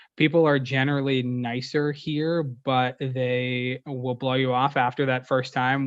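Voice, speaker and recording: A man with an American accent talks in a monotone, flat intonation with hardly any pauses. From Pennsylvania, near Pittsburgh. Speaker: sports group sales executive. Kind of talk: interview. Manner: fast.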